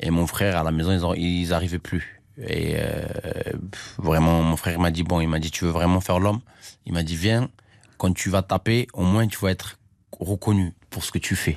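A man's very deep, low voice at a moderate pace, with fairly even intonation and a quiet background. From Armenia. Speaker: professional boxer. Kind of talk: interview.

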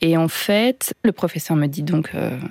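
At a very slow pace, a woman talks in a fairly low pitch, the sound dry and close with no echo. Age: 40s. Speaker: single mother by choice. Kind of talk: personal testimony. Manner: halting, many hesitations.

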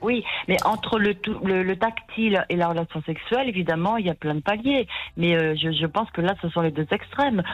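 In a southern French accent, a woman talks at a fairly quick pace. Her intonation is lively. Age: 60s. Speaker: caller. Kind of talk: testimony. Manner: halting.

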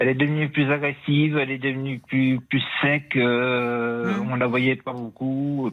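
A man with a plain, everyday voice speaks at a medium pitch and a moderate pace. His intonation is fairly even, and he takes hardly any pauses. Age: 60s. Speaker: caller. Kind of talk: testimony. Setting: phone call.

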